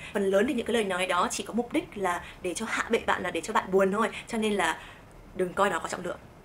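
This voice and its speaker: A very fast pace and an animated tone. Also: woman, medium pitch for a woman, ordinary pitch variation. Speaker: vlogger. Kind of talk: vlog advice talk.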